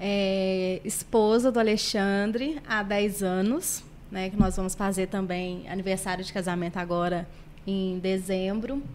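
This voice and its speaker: A woman speaks at a fairly slow pace with fairly even intonation, and audible room echo fills the space. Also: medium pitch for a woman. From Brazil, Barbacena, Minas Gerais. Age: 30s. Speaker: guest, nursing technician and makeup artist. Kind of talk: podcast interview.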